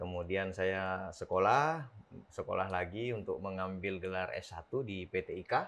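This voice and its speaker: Over a quiet background, the speaker keeps a moderate pace and ordinary pitch variation. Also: man, very deep, low pitch for a man. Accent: Sulawesi. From South Sulawesi, Bugis, Makassar. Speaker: district police chief. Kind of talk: casual interview.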